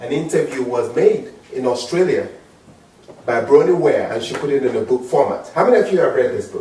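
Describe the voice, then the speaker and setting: Noticeable background noise and audible room echo around a man's fairly quick speech. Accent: strong African. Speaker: motivational speaker. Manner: animated.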